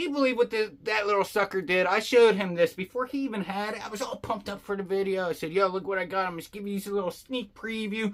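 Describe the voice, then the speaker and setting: A man with a high voice rushes along at a very fast pace with hardly any pauses and ordinary pitch variation, over noticeable background noise. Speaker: fishing youtuber. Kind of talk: product unboxing review. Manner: casual, animated.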